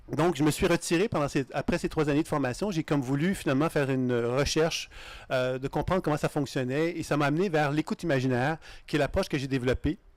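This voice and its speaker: In a very clean recording with a silent background and a dry, close sound with no echo, a man with a Canadian French accent speaks very fast at a fairly high pitch, with ordinary pitch variation and very even loudness. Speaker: intuition teacher. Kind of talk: lecture. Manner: halting.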